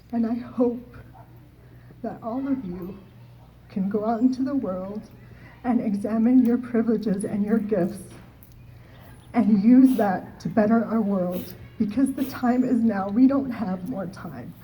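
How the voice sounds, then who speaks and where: Audible room echo surrounds a woman's voice. Her intonation is fairly even. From Oneida Nation, North America. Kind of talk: closing speech. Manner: halting, many fillers.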